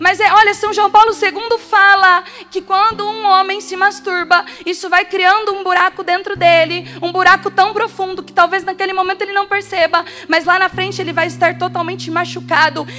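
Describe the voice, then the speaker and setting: Over music in the background, a woman uses a raised, projected voice at an extremely high pitch. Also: moderate pace. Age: 20s. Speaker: lay preacher at prayer group. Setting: prayer group meeting with live audience. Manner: animated, warm and jokey, with rhetorical questions and direct address to the crowd.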